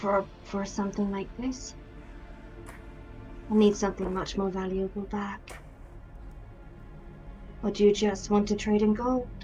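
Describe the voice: A female-sounding, raspy put-on character voice speaks at a moderate pace and a medium pitch, in a monotone, flat way. Long, frequent pauses break it up, and clear music plays in the background.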